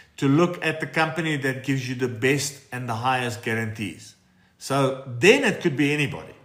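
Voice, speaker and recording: Audible room echo surrounds the speech. The pace is moderate, with ordinary pitch variation. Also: man. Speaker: financial adviser hosting live Q&A. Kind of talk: live stream Q&A. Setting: TikTok live stream. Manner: casual, conversational.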